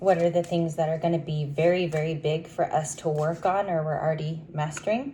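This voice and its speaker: A quiet, somewhat breathy woman's voice, very deep and low in pitch, at a fairly quick pace with fairly even intonation. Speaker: tarot reader. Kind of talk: tarot reading. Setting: at home, early morning. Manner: quiet, talking low.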